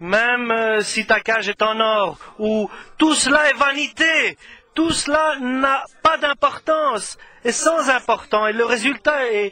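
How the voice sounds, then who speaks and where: Raising and projecting his voice, a man speaks very slowly at an extremely high pitch, with ordinary pitch variation. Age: 60s. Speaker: preacher. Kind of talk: sermon. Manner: halting.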